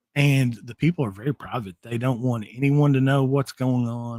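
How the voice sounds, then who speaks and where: On a very clean recording with a silent background and a dry, close sound with no echo, a man with a Southern US accent speaks at a moderate pace and medium pitch with ordinary pitch variation. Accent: Southern twang. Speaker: paranormal investigator. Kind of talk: podcast interview.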